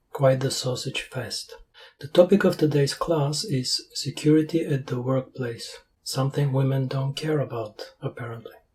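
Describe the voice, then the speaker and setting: A man with a Bulgarian accent speaks at a moderate pace in a deadpan tone, his pitch fairly high, with music playing in the background. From Bulgaria, Sofia. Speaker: language learning youtuber, reviewer. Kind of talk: sarcastic review voiceover. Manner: deadpan, sarcastic.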